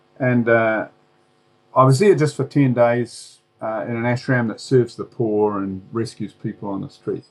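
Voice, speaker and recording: A man with a New Zealand accent at a medium pitch, ordinary pitch variation, and a fairly slow pace. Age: 60s. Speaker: former preacher and author. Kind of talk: interview. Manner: halting, many fillers.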